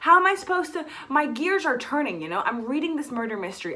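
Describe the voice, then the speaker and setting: Talking at a very fast pace in a raised, projected voice with an American accent, the speaker's pitch swings very widely over noticeable background noise. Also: woman. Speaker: book YouTuber. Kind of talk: casual vlog chat. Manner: animated.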